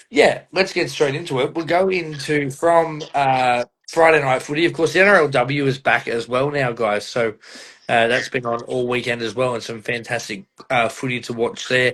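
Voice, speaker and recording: This man speaks with an Australian accent at a moderate pace. His pitch sits in the medium range and varies in an ordinary way. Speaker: podcast host. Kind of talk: casual chat.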